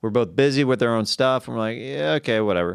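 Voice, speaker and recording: A man with an ordinary speaking voice talks at medium pitch with lively intonation. The recording is very clean, with a silent background. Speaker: comedian and podcaster. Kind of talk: casual chat.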